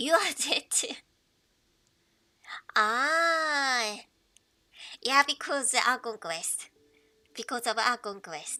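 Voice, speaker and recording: A woman speaks high in pitch with a Japanese accent. Her loudness swings widely, and she takes long, frequent pauses. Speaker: game streamer. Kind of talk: casual live stream chat. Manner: halting.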